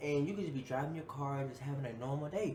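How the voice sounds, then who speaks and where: Amid noticeable background noise and audible room echo, a man talks at a fairly quick pace in an animated tone. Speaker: YouTube reactor. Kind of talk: reaction video commentary. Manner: fast.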